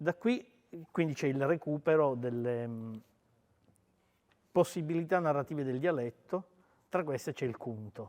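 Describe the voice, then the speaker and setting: A fairly slow, fairly high male voice with ordinary pitch movement, broken by long, frequent pauses. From Sicily, Palermo. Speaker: writer. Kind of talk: talk with interpreter at book event.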